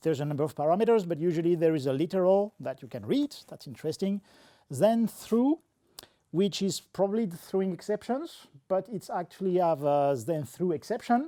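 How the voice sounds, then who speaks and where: Lively intonation and a dark, mellow tone move at a fairly quick pace in a dry, close sound with no echo, on a very clean recording with a silent background. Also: man, high pitch for a man. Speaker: software developer. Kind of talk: tech meetup talk. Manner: fast.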